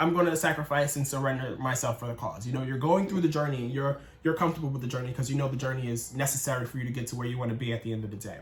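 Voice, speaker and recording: A man talks at a very fast pace with hardly any pauses and ordinary pitch variation. Noticeable background noise runs underneath. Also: medium pitch for a man. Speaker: tarot reader. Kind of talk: tarot reading. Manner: casual.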